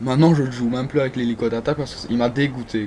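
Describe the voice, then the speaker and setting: A man's medium-pitched voice, fairly even in intonation, over noticeable background noise. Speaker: gaming video creator. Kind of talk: gameplay commentary. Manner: halting, many fillers and restarts.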